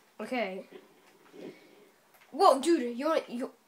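Over noticeable background noise, a woman with a high pitch speaks fairly slowly with lively intonation. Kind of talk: casual gameplay commentary.

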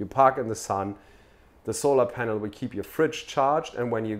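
A man speaking at a fairly quick pace with ordinary pitch variation. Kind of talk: interview answer. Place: office.

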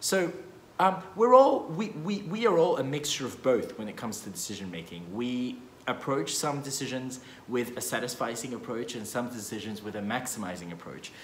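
In a room with audible echo and light background noise, a man talks at a moderate pace, his loudness swinging widely. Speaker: economics educator. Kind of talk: casual explainer vlog. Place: meeting room. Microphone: phone near.

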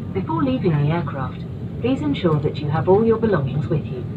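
The speech moves at a fairly quick pace against loud background noise. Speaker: cabin crew announcer. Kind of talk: formal in-flight announcement. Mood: polite, calm, formal. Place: plane.

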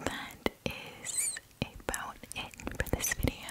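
Whispering from a woman. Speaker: small channel vlogger. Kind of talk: casual vlog chat. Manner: soft close-mic ASMR voice. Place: home room. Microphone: studio mic.

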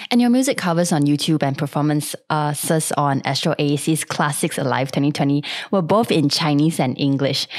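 A woman's very deep, low pitch comes through over a quiet background. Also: ordinary pitch variation, moderate pace. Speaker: podcast host. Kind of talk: casual interview. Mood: friendly, upbeat. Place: home room. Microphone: studio mic.

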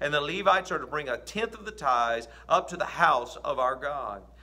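At a moderate pace, a man speaks. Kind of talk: scripture reading. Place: home room. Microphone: phone near.

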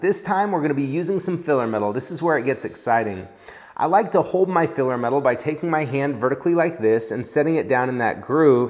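The man talks fairly quickly, with quiet behind him. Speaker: welding instructor. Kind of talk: tutorial. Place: workshop. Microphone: lapel.

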